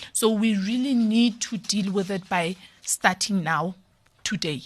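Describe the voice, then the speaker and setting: Her voice is somewhat breathy, at medium pitch. The woman speaks at a fairly slow pace. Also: ordinary pitch variation. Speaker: parenting guest speaker. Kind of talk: podcast interview. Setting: studio.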